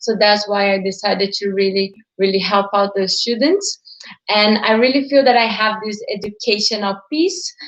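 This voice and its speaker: A woman with a Portuguese accent speaks at a medium pitch with fairly even intonation. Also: moderate pace. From Brazil. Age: 20s. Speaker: digital entrepreneur. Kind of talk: live stream talk.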